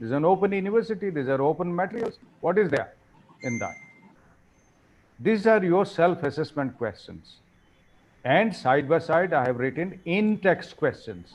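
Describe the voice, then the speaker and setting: In an Indian accent, a man with a high pitch talks at a moderate pace with lively intonation. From India, regional non-Hindi area. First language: Indian regional language (not Hindi or English). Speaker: professor, workshop trainer. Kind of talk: lecture. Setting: online workshop. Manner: animated.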